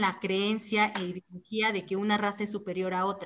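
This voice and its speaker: A plain, everyday voice from a woman, pitched fairly high, moving at a moderate pace. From Mexico, Oaxaca. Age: 20s. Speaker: activist. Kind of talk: interview.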